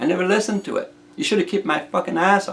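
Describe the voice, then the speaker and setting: A man speaks with a French Canadian accent. His pitch is high and his intonation lively. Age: 60s. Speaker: inventor. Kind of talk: casual video monologue. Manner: halting, many repetitions.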